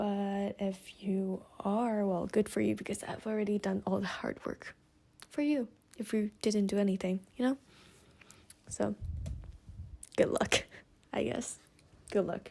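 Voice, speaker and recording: A woman with a non-native accent speaks in a somewhat breathy voice. Her tone is dark and mellow at medium pitch. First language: not English. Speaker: student. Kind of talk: casual vlog. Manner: slow; halting.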